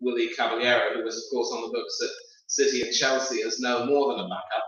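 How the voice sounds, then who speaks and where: With a British accent, a man talks in a space with audible room echo. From UK. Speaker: football pundit. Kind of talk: casual chat. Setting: live stream.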